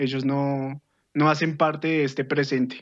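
A man talks at a fairly slow pace in a fairly high pitch. His intonation is monotone and flat, with a quiet background. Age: 20s. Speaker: podcast guest. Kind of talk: casual chat.

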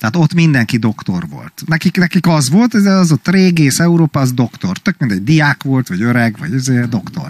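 A man speaks at a moderate pace with hardly any pauses. His pitch swings very widely. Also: fairly high pitch for a man. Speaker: podcast co-host. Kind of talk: casual chat.

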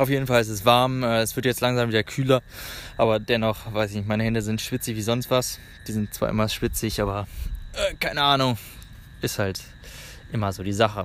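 Speaking at a fairly quick pace with long, frequent pauses, a man holds a medium pitch and fairly even intonation. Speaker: travel podcaster. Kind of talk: casual monologue. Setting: outdoors in a park. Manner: halting.

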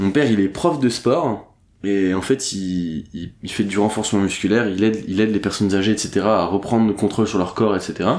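A man with a fairly low pitch and a plain, everyday voice speaks at a moderate pace. The recording is very clean, with a silent background. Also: ordinary pitch variation. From northern France (Dunkirk). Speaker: entrepreneur. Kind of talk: casual interview.

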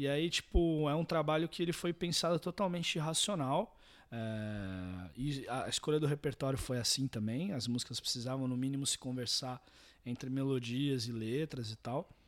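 With a very clean recording and a silent background, a man in a normal speaking voice uses lively intonation, a fairly high pitch and a moderate pace. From Santos, São Paulo coast, Brazil. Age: 20s. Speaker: singer-songwriter and guitarist. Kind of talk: casual interview.

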